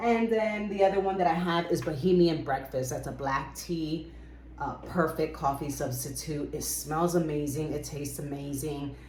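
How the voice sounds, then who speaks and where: A woman talks at a moderate pace in a very deep, low pitch, with ordinary pitch variation. Noticeable background noise and audible room echo are present. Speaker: book and herbal video creator. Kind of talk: casual show-and-tell vlog. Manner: casual, with frequent fillers.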